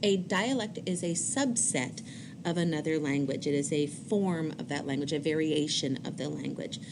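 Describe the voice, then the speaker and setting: A woman with an American accent talks at a moderate pace in a very deep, low pitch with ordinary pitch variation. There is audible room echo. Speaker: high school teacher. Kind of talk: recorded lecture. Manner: hesitant fillers (um, uh).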